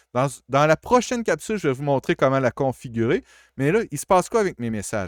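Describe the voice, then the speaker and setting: Very wide pitch swings in a dry, close sound with no echo, on a very clean recording with a silent background. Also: man. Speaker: college IT support staff. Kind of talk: tutorial. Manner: casual, with hesitations.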